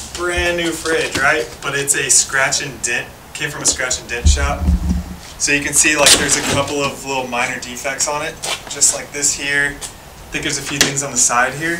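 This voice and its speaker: A man talks at a moderate pace, partly covered by loud background noise. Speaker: house flipper vlogger. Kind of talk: casual vlog chat. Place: garage. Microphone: phone near.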